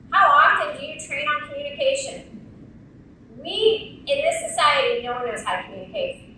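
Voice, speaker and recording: A woman speaks at a moderate pace. There is noticeable background noise and audible room echo. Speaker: insurance industry speaker. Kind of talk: conference keynote speech. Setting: stage with audience. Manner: animated.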